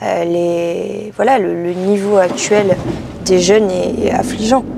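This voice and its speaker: A woman at a medium pitch and fairly slow pace, fairly even in intonation, over noticeable background noise. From French Basque Country (Biarritz/Bayonne). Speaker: political activist. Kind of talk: casual interview. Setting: in a car. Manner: hesitant, many fillers.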